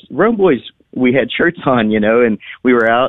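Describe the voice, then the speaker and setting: An unremarkable speaking voice, this man talks at a moderate pace and medium pitch with lively intonation. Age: 40s. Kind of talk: radio interview.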